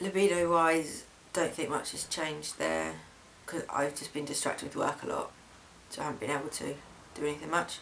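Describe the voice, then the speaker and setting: A man with a British accent speaks at a fairly quick pace, his pitch fairly high with ordinary variation. Long, frequent pauses break up his speech, and noticeable background noise runs underneath. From UK. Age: young. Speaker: vlogger. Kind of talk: video diary. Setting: home camera recording. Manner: hesitant, many fillers.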